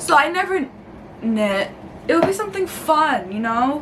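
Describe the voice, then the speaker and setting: A woman with a New York accent, high in pitch, at a fairly slow pace, with audible room echo and noticeable background noise. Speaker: YouTuber. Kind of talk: casual vlog. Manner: casual, filler-heavy.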